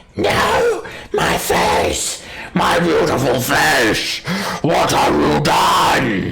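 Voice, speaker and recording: A man's growling put-on character voice at a very slow pace. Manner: screeching, anguished, vain.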